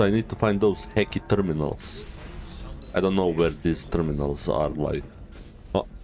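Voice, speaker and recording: Over background music, a man with a very deep, low pitch speaks at a moderate pace with lively intonation and long, frequent pauses. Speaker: gaming streamer. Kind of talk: casual chat.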